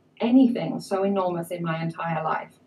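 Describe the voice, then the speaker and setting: Lively intonation in a woman's somewhat breathy voice. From England. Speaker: immigrant speaker. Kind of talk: personal talk to an audience.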